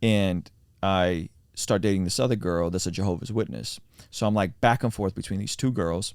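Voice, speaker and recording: A man's very deep, low voice, with ordinary pitch variation and a moderate pace, comes through on a very clean recording with a silent background. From Azerbaijan, raised in US. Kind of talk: testimony. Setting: mobile podcast recording.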